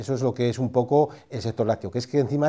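Against a quiet background, a man speaks at a medium pitch in a dark, mellow tone. He goes at a very fast pace. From Spain. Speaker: dairy sector expert. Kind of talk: interview. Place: office. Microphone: lapel.

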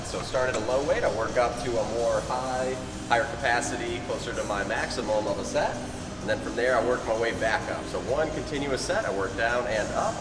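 A man talks at a fairly quick pace. Clear music runs in the background behind him. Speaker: fitness trainer. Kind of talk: tutorial. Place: gym. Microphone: camera far.

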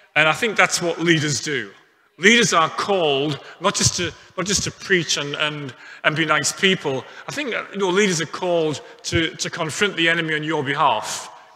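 Ordinary pitch variation marks a man's delivery at a moderate pace. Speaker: pastor. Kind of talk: sermon. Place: church. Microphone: headset.

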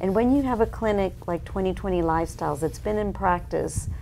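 A woman speaks over light background noise. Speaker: nutrition doctor and diet book author; guest. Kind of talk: interview conversation. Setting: in-person interview.

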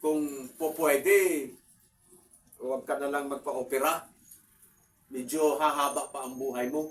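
Fairly slow and monotone, with flat intonation, a man speaks at a fairly high pitch. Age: 60s. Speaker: vlogger. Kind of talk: casual talk to camera. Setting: at home. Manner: halting.

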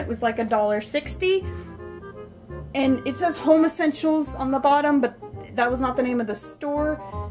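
A woman speaking at a fairly slow pace, with clear music in the background. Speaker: vlogger showing a mug collection. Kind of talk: casual talk to camera. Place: kitchen. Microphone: phone near.

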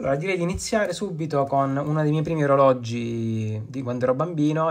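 A man in a normal speaking voice at a fairly quick pace. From Lecce, southern Italy. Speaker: watch collector. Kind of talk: recorded video presentation.

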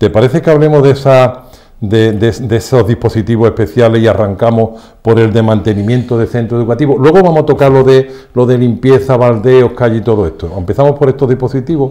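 With a dark, mellow tone and ordinary pitch variation, a man talks at a moderate pace with hardly any pauses against a quiet background. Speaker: TV show host. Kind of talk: program introduction and interview questions. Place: studio.

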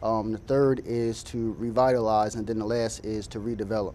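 Light background noise behind a man with an American accent, at a moderate pace. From US Mid-Atlantic. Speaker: city council candidate. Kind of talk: call-in show. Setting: studio. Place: studio.

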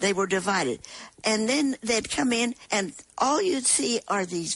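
With an American accent and vocal fry, a woman speaks with lively intonation. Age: 90s. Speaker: war veteran. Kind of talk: interview.

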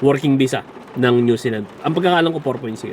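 There is noticeable background noise as a man with a medium pitch speaks at a moderate pace with ordinary pitch variation. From Philippines. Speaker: vlogger. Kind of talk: casual vlog. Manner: halting.

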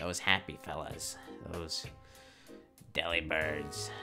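Clear music plays in the background. A man speaks in a put-on character voice. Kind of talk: comic improvised skit. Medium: comedy sketch. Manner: casual, cheeky, rambling street-talk.

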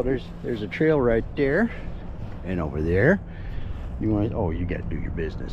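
A man speaks at a fairly quick pace. The sound is dry with no echo, and there is loud background noise. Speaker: truck driver vlogger. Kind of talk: casual vlog chat. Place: street. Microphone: phone near.

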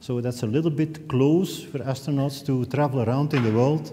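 The man's delivery has ordinary pitch variation and moves at a moderate pace. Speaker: event host. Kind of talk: event introduction speech. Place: hall.

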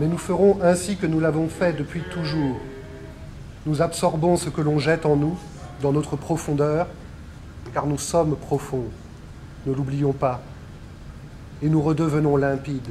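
Over music in the background, a man with a fairly high pitch speaks at a fairly slow pace with fairly even intonation and long, frequent pauses. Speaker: voice-over narrator. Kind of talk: poetic voice-over monologue.

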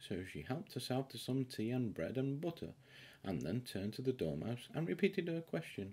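A man at a moderate pace, with big pitch swings and a slightly mellow tone.

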